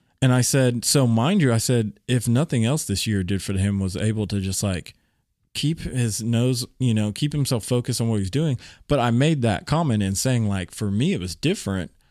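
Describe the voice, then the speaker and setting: The recording is very clean, with a silent background. An unremarkable speaking voice moves at a moderate pace with lively intonation. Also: man, medium pitch for a man. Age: 30s. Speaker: church member and longtime friend of host. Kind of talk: casual chat.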